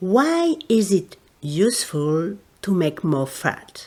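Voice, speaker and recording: With a French accent, a woman speaks at a medium pitch that swings very widely. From France. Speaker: therapist and teacher. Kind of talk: educational podcast talk.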